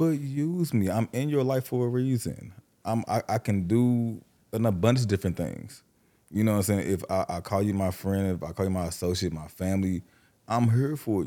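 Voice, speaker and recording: The voice has a dark, mellow tone and lively intonation, moving at a fairly quick pace on a very clean recording with a silent background. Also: man, fairly low pitch for a man. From St. Louis, Missouri. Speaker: host's childhood friend. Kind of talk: casual chat.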